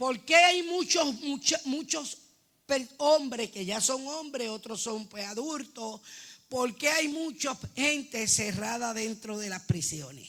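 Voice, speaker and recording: Her pitch high and her intonation lively, a woman speaks at a very slow pace. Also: big swings in loudness. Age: 60s. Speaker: church member. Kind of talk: testimony. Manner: halting.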